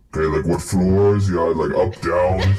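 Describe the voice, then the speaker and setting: A man's put-on character voice, very deep and low in pitch, with monotone, flat intonation, very even loudness and a moderate pace. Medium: actual play.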